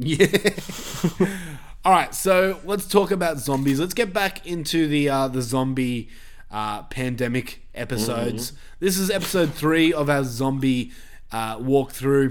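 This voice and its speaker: Fairly slow speech from a man with a fairly high pitch and lively intonation. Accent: Australian. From Australia. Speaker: podcast host. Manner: casual, sweary.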